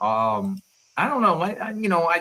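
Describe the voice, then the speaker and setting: Bright and sharp in tone, a man with an American accent speaks at a fairly quick pace, his pitch swinging very widely. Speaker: livestream host. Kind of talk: casual chat.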